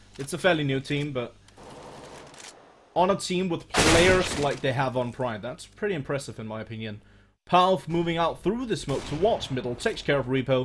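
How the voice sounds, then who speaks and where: A man with a non-native accent and fairly high pitch speaks at a moderate pace with lively intonation. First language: not English (English is third language). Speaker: esports caster. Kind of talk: live commentary. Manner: animated.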